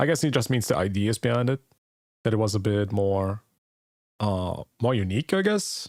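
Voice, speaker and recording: A man with a non-native accent, fairly low in pitch, with ordinary pitch variation, very even loudness and long, frequent pauses, in a very clean recording with a silent background and a dry, close sound with no echo. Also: moderate pace. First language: not English. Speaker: gaming streamer. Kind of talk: reaction stream commentary. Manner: casual.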